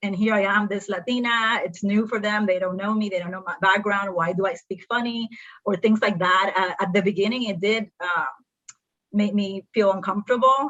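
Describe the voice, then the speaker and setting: Fairly even intonation at a moderate pace, in a Spanish accent. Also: woman, medium pitch for a woman. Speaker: accountant. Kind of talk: panel discussion.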